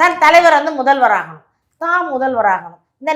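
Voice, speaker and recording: A woman's high, bright, sharp voice, animated in tone, with very wide pitch swings. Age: 50s. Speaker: party spokesperson. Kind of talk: interview.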